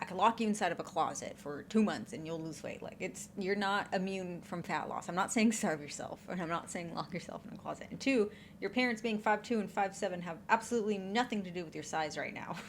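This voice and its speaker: The delivery is very fast and animated in tone, with ordinary pitch variation and big swings in loudness. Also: woman, medium pitch for a woman. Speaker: reaction youtuber. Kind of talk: reaction commentary.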